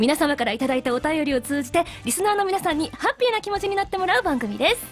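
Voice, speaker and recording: A woman's extremely high voice with very wide pitch swings at a very fast pace, over faint music in the background. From Hokkaido. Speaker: voice actor. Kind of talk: web radio talk show. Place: studio.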